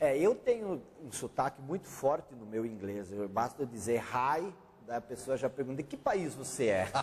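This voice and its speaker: A man's medium-pitched, somewhat breathy voice at a moderate pace, with lively intonation and big swings in loudness. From Brazil, German-speaking family. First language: German (speaking Portuguese). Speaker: author and consultant. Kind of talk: interview.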